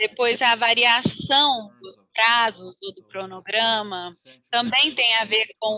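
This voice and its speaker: A woman speaks very slowly in a bright, sharp tone. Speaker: webinar presenter on project management. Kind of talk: webinar presentation with slides.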